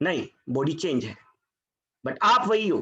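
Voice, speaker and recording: A man's bright, sharp tone rises and falls in very wide pitch swings. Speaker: Bhagavad Gita scholar and chartered accountant. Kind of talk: spiritual talk to online audience. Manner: tries to speak louder. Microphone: voice too quiet.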